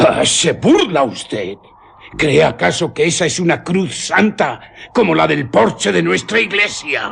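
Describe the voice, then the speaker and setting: A man puts on a character voice with a fairly high pitch. He talks at a fairly slow pace. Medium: old radio play. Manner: vehement, urgent.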